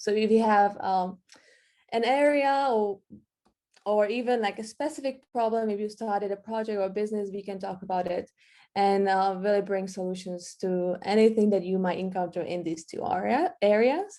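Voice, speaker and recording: At a moderate pace, a woman speaks at medium pitch with a dark, mellow tone and ordinary pitch variation. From Czech Republic. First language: Czech. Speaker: marketing workshop presenter. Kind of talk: online workshop presentation. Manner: halting, with repetitions.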